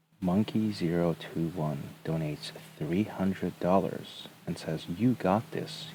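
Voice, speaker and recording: A man's very deep, low voice moves with lively intonation. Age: 20s. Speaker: live streamer. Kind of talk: casual chat, reading donations aloud.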